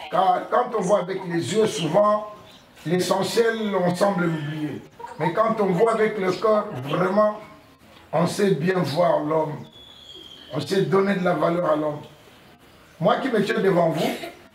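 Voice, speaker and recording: A high-pitched man at a very slow pace, ordinary pitch variation, long and frequent pauses, audible room echo and noticeable background noise. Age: 60s. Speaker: blind association president. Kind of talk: address to schoolchildren.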